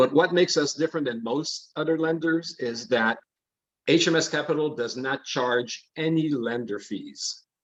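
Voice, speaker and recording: A man with a French accent talks at a moderate pace, his fairly high pitch showing ordinary variation. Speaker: mortgage lender. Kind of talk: interview.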